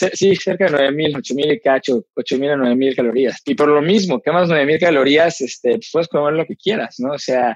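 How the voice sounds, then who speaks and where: In a Mexican accent, a man speaks at a moderate pace with hardly any pauses. His fairly high voice has lively intonation, recorded dry and close with no echo. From Mexico. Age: 40s. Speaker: Ironman triathlete and businessman. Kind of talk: interview conversation.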